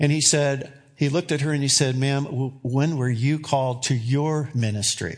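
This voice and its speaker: A man with an unremarkable speaking voice talks at a fairly quick pace, his fairly high pitch held to fairly even intonation. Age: 60s. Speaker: pastor. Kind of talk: sermon. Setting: church.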